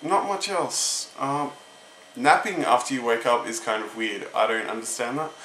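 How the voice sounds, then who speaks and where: Noticeable background noise is heard under a man's voice. He speaks at a moderate pace and medium pitch with ordinary pitch variation. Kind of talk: casual talk to camera.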